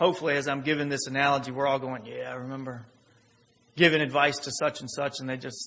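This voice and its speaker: A man with a plain, everyday voice, fairly high in pitch, at a fairly quick pace. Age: 30s. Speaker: pastor. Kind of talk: sermon. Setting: church.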